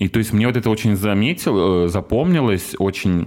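There is noticeable background noise. Over it, a man talks with ordinary pitch variation. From Russia, Murmansk. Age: 30s. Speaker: former accountant. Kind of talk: casual chat. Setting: studio.

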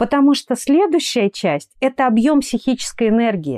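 A woman's high-pitched voice with a dark, mellow tone and very wide pitch swings, in a dry, close sound with no echo. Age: 30s. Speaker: dermatologist and cosmetologist. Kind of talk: interview. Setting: remote recording.

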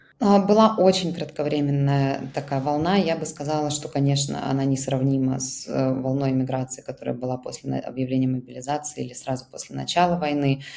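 Over noticeable background noise, a woman with a very deep, low-pitched voice speaks at a moderate pace, with ordinary pitch variation and hardly any pauses. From Russia. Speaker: founder of an emigrant aid project. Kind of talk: interview.

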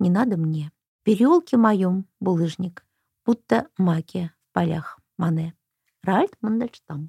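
Dry and close with no echo, a woman's voice carries a dark, mellow, somewhat breathy tone. She speaks at a very slow pace with lively intonation. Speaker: radio host. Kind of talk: radio interview. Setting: radio studio.

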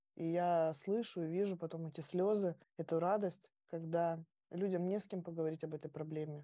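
The woman's fairly low voice has a dark, mellow tone and monotone, flat intonation. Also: moderate pace. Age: 30s. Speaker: mother and HIV awareness blogger. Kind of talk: podcast interview.

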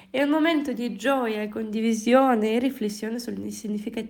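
A woman talks at a moderate pace in a fairly high pitch, with audible room echo around her voice. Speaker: language teacher. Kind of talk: language lesson podcast.

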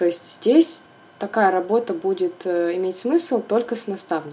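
This woman talks at a fairly slow pace with medium pitch and lively intonation. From Russia, Volgograd. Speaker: interior designer. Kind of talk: interview. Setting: remote call.

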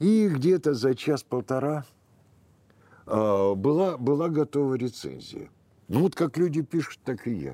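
The voice has a dark, mellow tone and lively intonation, moving at a fairly slow pace with long, frequent pauses in a dry, close sound with no echo. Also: man, fairly high pitch for a man. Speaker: film historian. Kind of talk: interview. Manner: halting.

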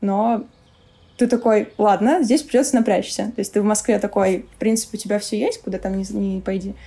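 A woman with a fairly high pitch and a dark, mellow tone sounds somewhat breathy, with ordinary pitch variation. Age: 20s. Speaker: head of a vegan food producer. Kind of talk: casual interview chat.

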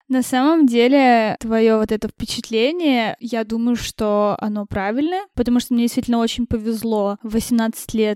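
Woman with a normal speaking voice at a fairly high pitch, moderate pace and hardly any pauses, in a dry, close sound with no echo. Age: 20s. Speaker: event manager. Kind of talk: casual interview.

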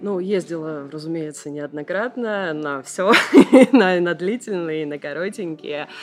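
A woman speaks at a fairly slow pace with a fairly low pitch and ordinary pitch variation. Noticeable background noise runs underneath. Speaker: yoga teacher and tour participant. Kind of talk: interview about yoga tours.

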